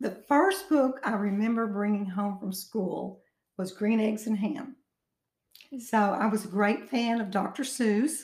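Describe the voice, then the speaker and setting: Somewhat breathy and at a fairly high pitch, a woman in an Arkansas accent talks at a fairly slow pace with ordinary pitch variation. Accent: Southern US (Arkansas). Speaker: author and retired teacher. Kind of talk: interview.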